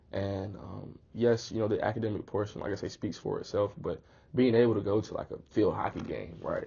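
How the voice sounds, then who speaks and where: The speaker has an Atlanta accent. The delivery moves at a fairly quick pace. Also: man. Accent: Atlanta accent, noticeable. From Atlanta, South Fulton, Georgia. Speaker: college athlete. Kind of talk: casual interview. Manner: animated.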